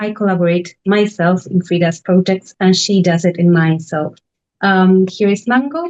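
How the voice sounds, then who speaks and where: The speaker has a Spanish accent and a fairly even intonation. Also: woman. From Argentina, Buenos Aires. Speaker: residency director. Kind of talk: panel presentation.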